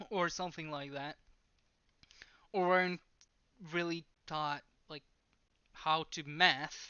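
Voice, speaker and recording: A woman with a non-native accent speaks at a very slow pace, her pitch varying in an ordinary way. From outside the US. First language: not English. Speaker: math explainer / vlogger. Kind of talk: tutorial. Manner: halting.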